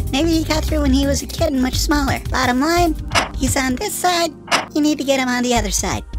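A female-sounding cartoonish character voice at a fairly quick pace, with clear music in the background. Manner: brisk, informative, lecturing.

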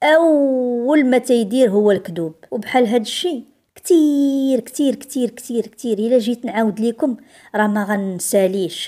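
A woman speaks in a high pitch with lively intonation. Her pace is fairly slow and her tone dark and mellow. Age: 40s. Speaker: storyteller. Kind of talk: first-person storytelling.

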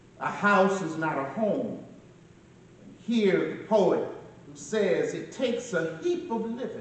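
Very slow male speech with very wide pitch swings and audible room echo. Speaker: pastor giving eulogy. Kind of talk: sermon. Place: church. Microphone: camera far.

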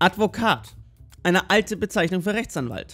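At a moderate pace, someone speaks while music plays in the background. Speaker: history explainer narrator. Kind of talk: animated history explainer narration.

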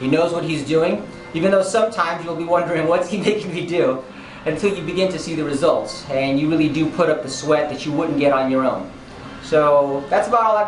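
A man talks at a very fast pace with a high pitch and ordinary pitch variation. Light background noise and audible room echo are present. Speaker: gym client. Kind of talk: testimonial to camera. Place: gym. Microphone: camera far.

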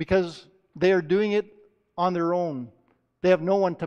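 Fairly even intonation in an unforced reading voice, set against a quiet background

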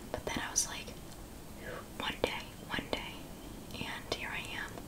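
A soft-spoken woman at a fairly slow pace, over loud background noise. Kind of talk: casual tutorial chat. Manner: soft, close-mic ASMR speech. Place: home room. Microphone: studio mic.

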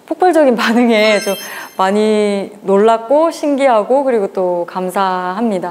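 Intonation is lively, and the delivery keeps a moderate pace. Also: woman. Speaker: author. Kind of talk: interview answer. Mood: warm, grateful. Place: cafe. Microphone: lapel.

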